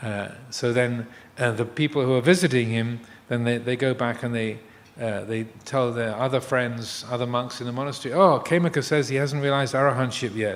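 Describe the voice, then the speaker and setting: Speaking at a fairly quick pace, a man keeps a medium pitch and fairly even intonation. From England. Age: 60s. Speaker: Buddhist monk. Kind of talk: dharma talk. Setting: live streamed talk. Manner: halting, many fillers and repetitions.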